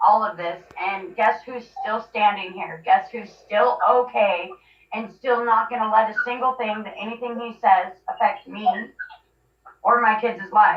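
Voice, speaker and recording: A woman with an ordinary speaking voice talks at a fairly slow pace and fairly high pitch. Her pitch varies in an ordinary way, and her loudness swings widely. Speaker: mother telling her family story. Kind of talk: interview.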